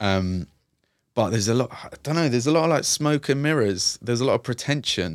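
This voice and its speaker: A man with a London accent talks at a fairly quick pace and a medium pitch, his intonation lively. The recording is very clean, with a silent background and a dry, close sound without echo. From East London, Hackney. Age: 30s. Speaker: youth and community worker. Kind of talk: casual interview.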